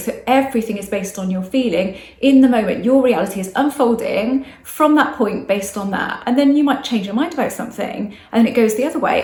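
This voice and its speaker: A woman's fairly high voice at a fairly quick pace, with ordinary pitch variation, audible room echo and noticeable background noise. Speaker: manifestation coach. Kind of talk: casual talk to camera. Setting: outdoors. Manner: fast.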